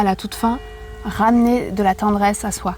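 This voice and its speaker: Over music in the background, a woman speaks with a fairly high pitch and fairly even intonation. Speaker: yoga teacher and sophrologist. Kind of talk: casual chat. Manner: calm, gentle.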